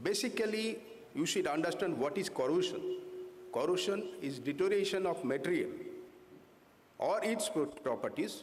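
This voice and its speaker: A man talks at a moderate pace with very even loudness, leaving long, frequent pauses. The room echo is audible. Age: 60s. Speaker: corrosion engineer presenting at a conference. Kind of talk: technical conference presentation. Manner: halting, many fillers.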